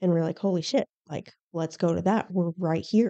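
With an American accent, a woman talks in a fairly low, dark and mellow voice, the sound dry and close with no echo. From Arizona, Tucson. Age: 30s. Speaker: police officer. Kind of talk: casual chat.

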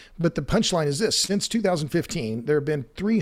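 With a Southern US accent and lively intonation, the speaker goes at a very fast pace on a very clean recording with a silent background. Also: man. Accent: Southern US (Oklahoma). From Oklahoma. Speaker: energy author and podcaster. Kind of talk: interview.

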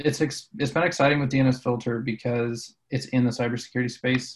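This man has an ordinary speaking voice and an American accent. He talks at a moderate pace and medium pitch with fairly even intonation. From Colorado. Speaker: marketing director at a cybersecurity company. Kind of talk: interview on a business podcast.

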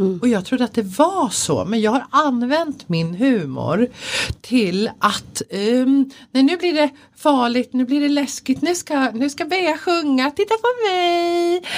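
A woman's high voice with very wide pitch swings at a very slow pace. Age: 40s. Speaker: codependency coach. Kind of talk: casual chat.

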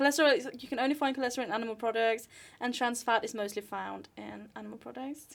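With a Norwegian accent, a woman speaks at a fairly quick pace and with fairly even intonation. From northern Norway. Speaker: podcast host and journalism student. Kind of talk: casual chat.

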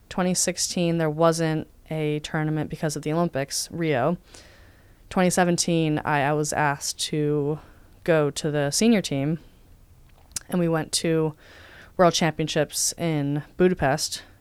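A woman with a very deep, low pitch talks very slowly with fairly even intonation and long, frequent pauses, on a very clean recording with a silent background. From Southern California, South Bay. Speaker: athlete. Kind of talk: interview.

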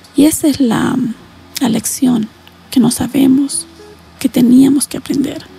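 Amid noticeable background noise, a woman speaks at a high pitch in a monotone, flat intonation at a fairly slow pace. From Latin America. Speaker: psychologist or therapist. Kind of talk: guided meditation; interview.

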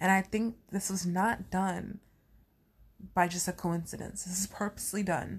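Delivered at a moderate pace, the somewhat breathy speech stays monotone and flat in intonation. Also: woman, very clean recording, silent background. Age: 20s. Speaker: wrestling podcast host. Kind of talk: casual solo commentary.

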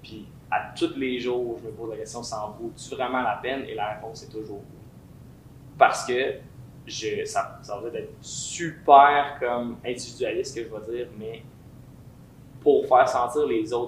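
The voice moves at a fairly slow pace with big swings in loudness. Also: man. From Quebec, Lévis (Saint-Étienne-de-Lauzon). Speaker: singer and musician. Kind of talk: casual interview. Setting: recording room.

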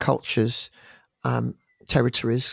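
In a London accent, a man talks at a moderate pace, recorded very cleanly against a silent background with a dry, close sound and no echo. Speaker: gospel singer-songwriter and worship leader. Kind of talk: interview conversation.

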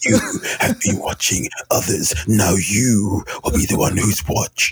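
A man's put-on character voice, raspy and fairly low, at a fairly slow pace. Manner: ominous.

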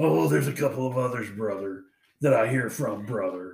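A man puts on a character voice at a medium pitch and moderate pace. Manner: bombastic.

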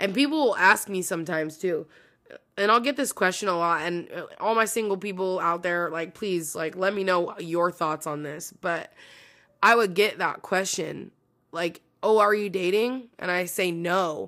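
A woman's voice, bright and sharp in tone, comes through on a very clean recording with a silent background. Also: medium pitch for a woman, ordinary pitch variation, moderate pace. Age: 30s. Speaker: podcast host. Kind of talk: casual solo monologue.

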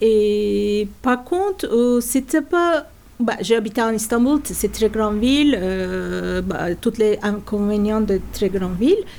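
In a Turkish accent, a woman speaks very slowly with a dark, mellow tone, a fairly high pitch and ordinary pitch variation. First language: Turkish (speaking French). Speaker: natural dyer and workshop teacher. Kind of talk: interview. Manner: halting.

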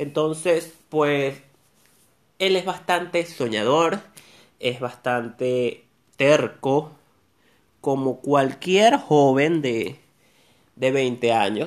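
A man's fairly high-pitched voice at a very slow pace, with long, frequent pauses and ordinary pitch variation. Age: 30s. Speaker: podcaster. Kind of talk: casual monologue. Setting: at home.

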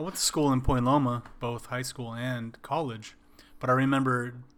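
This is a plain, everyday voice, a man's at medium pitch with an American accent. He talks at a moderate pace with fairly even intonation. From Wisconsin. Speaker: podcast co-host. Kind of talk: casual chat.

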